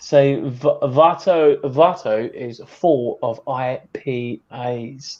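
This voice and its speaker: A man with a strong British accent and fairly high pitch speaks at a very slow pace with hardly any pauses. His loudness swings widely, with ordinary pitch variation. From Britain. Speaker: beard product reviewer. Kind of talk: casual chat.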